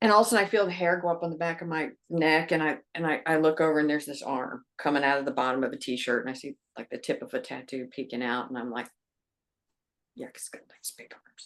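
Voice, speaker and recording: The delivery is animated and very fast, with very wide pitch swings and big swings in loudness. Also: woman, very deep, low pitch for a woman. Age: 60s. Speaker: life coach. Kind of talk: interview storytelling. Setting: podcast.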